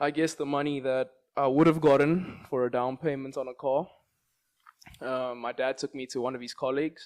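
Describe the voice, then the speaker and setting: A man with a South African accent speaks at medium pitch and a fairly quick pace. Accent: South African, unchanged. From South Africa, Johannesburg. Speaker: entrepreneur and investor. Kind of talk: interview. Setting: studio.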